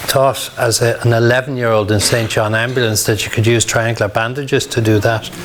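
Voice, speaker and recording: A medium-pitched man with a Dublin accent speaks at a moderate pace and very even loudness with hardly any pauses, amid audible room echo and noticeable background noise. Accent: Dublin Irish. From Ireland, Dublin (Ballyfermot). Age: 60s. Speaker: emergency medicine doctor. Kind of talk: lecture; Q&A session.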